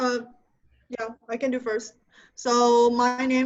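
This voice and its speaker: With a Chinese accent, a woman talks at a high pitch. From China, Yangzhou near Shanghai. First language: Mandarin Chinese. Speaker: music student. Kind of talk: self-introduction.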